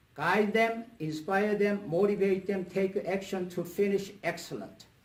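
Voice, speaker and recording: A man's high-pitched voice at a moderate pace. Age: 70s. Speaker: motivational speaker and coach. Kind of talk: talk to a club meeting.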